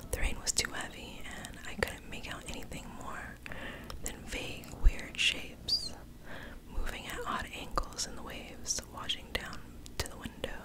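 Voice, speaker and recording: Whispering over noticeable background noise. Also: moderate pace. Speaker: ASMR creator. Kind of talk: horror story reading. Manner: whispered.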